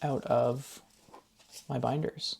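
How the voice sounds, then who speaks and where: A soft-spoken man talks with fairly even intonation. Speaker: budgeting YouTuber. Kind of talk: casual tutorial. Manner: counting aloud.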